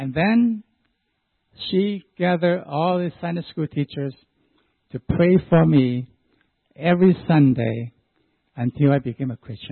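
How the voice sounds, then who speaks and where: Speaking at a fairly slow pace with long, frequent pauses, a man uses a fairly high pitch and lively intonation, and his loudness swings widely. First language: Chinese dialect. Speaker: church deacon. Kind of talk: testimony.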